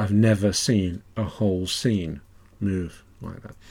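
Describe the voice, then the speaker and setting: This man has a fairly low pitch and a dark, mellow tone, with an English accent. The recording is very clean and the background silent. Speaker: author doing audio commentary. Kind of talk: DVD-style audio commentary, relaxed solo talk. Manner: relaxed, conversational with fillers.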